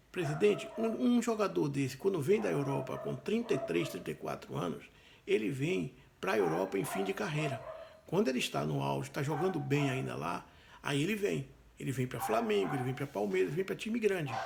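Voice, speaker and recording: Fairly quick speech from a man, noticeable background noise behind it. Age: 60s. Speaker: football fan commentator. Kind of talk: opinion monologue.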